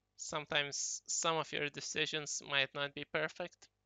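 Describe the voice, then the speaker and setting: The speaker has a non-native accent and talks at a fairly slow pace. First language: not English. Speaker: gaming YouTuber. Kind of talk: tutorial. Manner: casual, hesitant with fillers.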